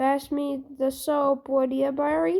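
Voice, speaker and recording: The woman's pitch is high in a put-on character voice. Her delivery is fairly slow. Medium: read story.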